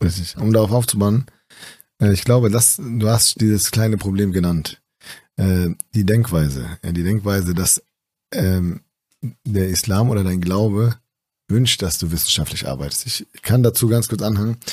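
The recording is very clean, with a silent background. A man with a plain, everyday voice speaks at a fairly low pitch with ordinary pitch variation. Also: fairly slow pace. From northern Germany, East Frisia (Aurich). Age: 30s. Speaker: physician. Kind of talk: casual interview.

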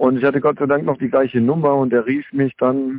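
A plain, everyday voice from a man, fairly quick, at a medium pitch. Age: 40s. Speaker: former drug addict, author and rapper. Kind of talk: interview.

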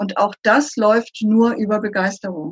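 At a fairly slow pace, a somewhat breathy woman speaks at medium pitch with ordinary pitch variation. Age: 60s. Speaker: consultant. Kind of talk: interview.

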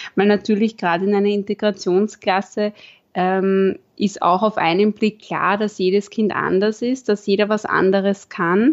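Against a quiet background, a woman at medium pitch speaks at a moderate pace with very even loudness and fairly even intonation. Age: 20s. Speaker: primary school teacher. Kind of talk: interview. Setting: video call.

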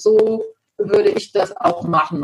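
Very slowly and somewhat breathily, a woman speaks at a medium pitch with lively intonation. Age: 50s. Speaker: lawyer and bank credit specialist. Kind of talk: interview. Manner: hesitant, many filler sounds.

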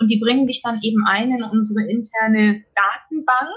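Fairly high in pitch and somewhat breathy, a woman speaks with fairly even intonation. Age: 30s. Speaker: biologist returning from parental leave. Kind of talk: interview.

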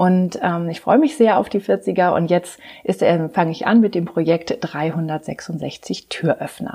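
Very slow speech in a dark, mellow tone with ordinary pitch variation, on a very clean recording with a silent background. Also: woman, fairly low pitch for a woman. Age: 40s. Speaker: life and leadership coach. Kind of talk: podcast monologue. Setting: home practice rooms, on camera. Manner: hesitant, many fillers.

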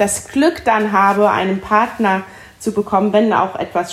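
A woman with an ordinary speaking voice, medium pitch, fairly even intonation and a fairly slow pace. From Palatinate, Germany. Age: 40s. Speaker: winemaker. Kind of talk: interview.

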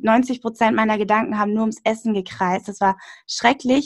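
A woman with a fairly high pitch talks at a moderate pace on a very clean recording with a silent background. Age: 20s. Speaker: nutrition podcaster and author. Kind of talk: casual interview. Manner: hesitant, many fillers.

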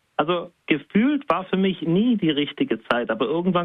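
This is a man speaking. His pitch is high. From southwestern Germany. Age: 30s. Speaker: self-employed coach. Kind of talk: interview.

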